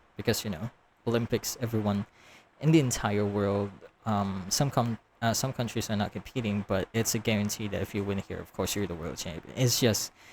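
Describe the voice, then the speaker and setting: A man talks at a fairly quick pace. His pitch sits fairly low, with ordinary variation. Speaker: YouTube reaction commentator. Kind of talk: casual reaction commentary. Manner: halting, filler-heavy; repetitive phrasing.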